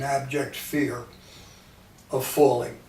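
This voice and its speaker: At a moderate pace, a man talks amid noticeable background noise, with audible room echo around his voice. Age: 80s+. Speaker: patient. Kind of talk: testimony.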